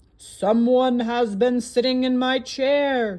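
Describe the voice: A man puts on a gruff character voice at an extremely high pitch. He delivers it at a fairly slow pace.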